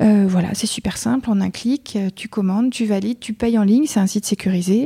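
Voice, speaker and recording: The voice is dark, mellow and somewhat breathy, moving at a fairly quick pace with fairly even intonation. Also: woman. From France, Mayenne. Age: 40s. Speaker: entrepreneur. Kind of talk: interview. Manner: hesitant.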